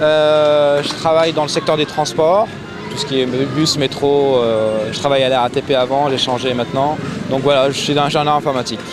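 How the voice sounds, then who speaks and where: Through noticeable background noise, a man with a fairly high voice speaks at a moderate pace with fairly even intonation. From Syria, Damascus. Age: 30s. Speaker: Syrian activist, computer engineer. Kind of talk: interview testimony.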